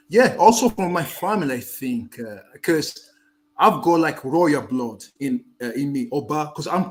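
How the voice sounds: His intonation is lively and his pace fairly slow. The man's pitch is fairly high.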